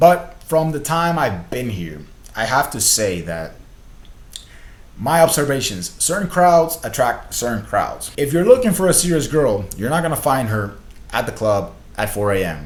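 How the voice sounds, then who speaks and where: Audible room echo surrounds a man with a medium pitch and vocal fry. He talks at a moderate pace with very wide pitch swings. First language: Spanish. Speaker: vlogger. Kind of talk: casual vlog monologue.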